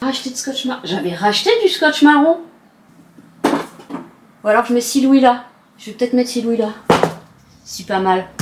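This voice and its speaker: A woman talks at a fairly slow pace with lively intonation, big swings in loudness, and long, frequent pauses. Noticeable background noise runs behind her. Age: 40s. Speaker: vlogger. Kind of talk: casual vlog chat. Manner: animated; unfinished sentences.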